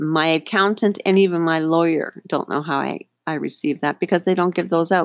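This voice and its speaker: Speaking fairly quickly in a fairly low voice, a woman talks with a Northern Ontario accent. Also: fairly even intonation. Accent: Canadian (Northern Ontario). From Northern Ontario, Canada. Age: 50s. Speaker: podcast host, small business owner. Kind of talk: personal storytelling monologue. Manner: halting, many fillers.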